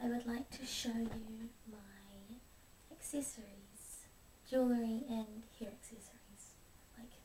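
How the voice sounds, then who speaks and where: Soft-spoken and monotone, a woman talks at a fairly slow pace with a fairly high pitch. Her loudness swings widely, and there is noticeable background noise. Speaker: ASMR creator. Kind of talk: ASMR show and tell.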